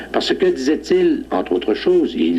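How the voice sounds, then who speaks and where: Here a man speaks with a Beauce accent. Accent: Quebec French, Beauce. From Beauce, Quebec, Canada. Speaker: judge. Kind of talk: TV interview, historical reminiscence.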